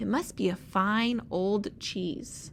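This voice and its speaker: A woman uses a put-on character voice at a medium pitch. Clear background noise is present. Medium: read story.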